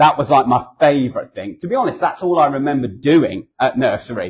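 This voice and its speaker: His pitch fairly high and swinging very widely, a man speaks with a southern English accent. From southern England. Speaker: charity founder and guest speaker. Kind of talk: church talk. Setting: church. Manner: conversational, hesitant with fillers.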